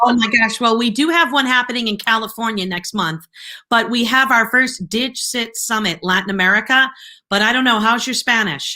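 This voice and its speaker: A woman with a Boston accent speaks in an animated tone at a fairly high pitch, recorded very cleanly against a silent background. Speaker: live show host. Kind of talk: live interview wrap-up. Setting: live video stream.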